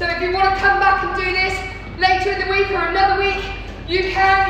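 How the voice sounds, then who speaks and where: A woman uses a raised, projected voice with fairly even intonation. Strong room echo and light background noise surround her. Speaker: fitness instructor. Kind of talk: workout instruction. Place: gym. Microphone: camera far.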